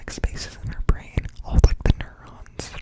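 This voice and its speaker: Someone is whispering. The pace is fairly slow. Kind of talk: ASMR whisper ramble. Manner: whispered; casual, rambling.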